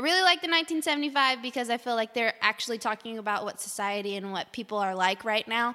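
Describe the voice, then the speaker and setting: Very fast pace from a woman, bright and sharp in tone, with lively intonation and fairly high pitch. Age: 20s. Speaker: young adult missions worker. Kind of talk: casual chat. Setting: recorded over coffee.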